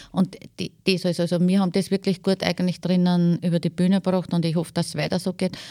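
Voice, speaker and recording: On a very clean recording with a silent background and a dry, close sound without echo, a woman talks at a fairly quick pace in a dark, mellow tone. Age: 50s. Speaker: care home nurse. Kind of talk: interview.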